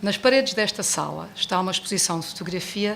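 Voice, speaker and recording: A woman with an English accent. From United States. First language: English (speaking Portuguese). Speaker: book presenter. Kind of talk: book launch speech read from notes. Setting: bookstore event with audience.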